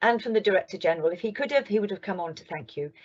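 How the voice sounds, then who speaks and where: Lively intonation from a woman at a medium pitch. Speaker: global health official and midwife. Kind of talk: keynote talk. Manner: fast.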